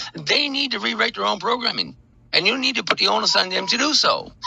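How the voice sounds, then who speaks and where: A man talks at a very fast pace with music playing in the background. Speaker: dog behavior coach. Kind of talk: phone conversation. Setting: phone call.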